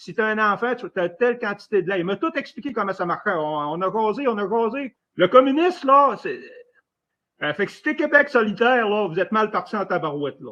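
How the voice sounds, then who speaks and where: Against a quiet background, a man with a high pitch uses a raised, projected voice and a bright, sharp tone, talking at a fairly quick pace with big swings in loudness and very wide pitch swings. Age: 60s. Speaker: former military caller in live debate. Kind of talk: live debate. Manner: halting.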